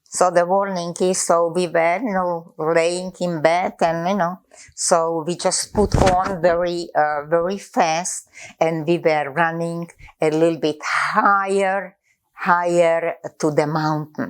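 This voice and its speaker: At a very slow pace, a woman speaks in a fairly low pitch with fairly even intonation. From Czechoslovakia. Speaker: Holocaust survivor. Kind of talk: interview answer.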